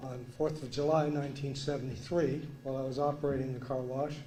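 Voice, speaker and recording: This man's voice sits at a fairly high pitch and moves at a moderate pace in a monotone, flat intonation. Audible room echo surrounds his speech. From Vermont. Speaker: resident speaking at council meeting. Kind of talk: public comment.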